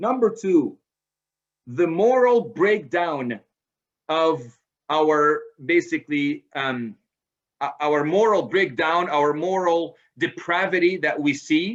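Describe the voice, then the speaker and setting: Lively intonation, a very slow pace and long, frequent pauses. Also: man, high pitch for a man. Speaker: presenter on parenting, author. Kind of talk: lecture. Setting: video call.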